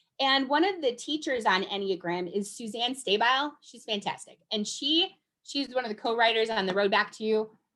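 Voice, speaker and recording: Animated, lively intonation and big swings in loudness, with hardly any pauses. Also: woman, fairly high pitch for a woman. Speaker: enneagram presenter. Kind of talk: presentation. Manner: fast.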